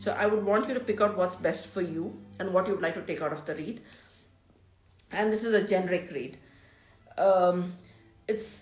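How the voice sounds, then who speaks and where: A woman talks at a moderate pace. Audible room echo fills the recording. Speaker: tarot reader, spiritual guide. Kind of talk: tarot reading monologue. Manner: halting.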